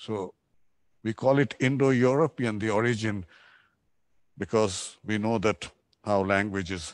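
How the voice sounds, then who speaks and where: A man with a Bangladeshi accent at a fairly low pitch, fairly slow with long, frequent pauses and ordinary pitch variation, dry and close with no echo, over a quiet background. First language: Bengali. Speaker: architect. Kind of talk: lecture.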